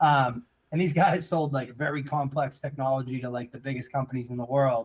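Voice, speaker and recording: A man talks at a fairly quick pace in a medium, somewhat breathy voice. His intonation is fairly even. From central Massachusetts. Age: 30s. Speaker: entrepreneur. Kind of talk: casual interview chat. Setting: live show.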